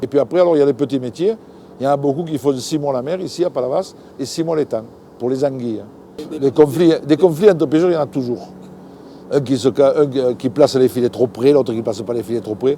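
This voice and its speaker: A man talks at a fairly quick pace and medium pitch with ordinary pitch variation. Long, frequent pauses break his speech over noticeable background noise. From southern France. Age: 60s. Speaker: fisherman. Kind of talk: interview answer. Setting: outdoors. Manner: enthusiastic, lively.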